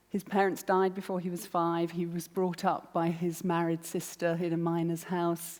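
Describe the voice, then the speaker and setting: Speaking with a southern English accent, a woman uses a monotone, flat intonation at a fairly low pitch and a moderate pace, with hardly any pauses, on a very clean recording with a silent background. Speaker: arts producer, festival director. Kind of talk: public talk.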